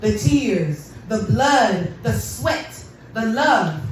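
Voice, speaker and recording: A woman's voice with very wide pitch swings against noticeable background noise. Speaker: poet. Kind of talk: spoken word performance. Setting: live venue, hookah lounge. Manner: angry, intense.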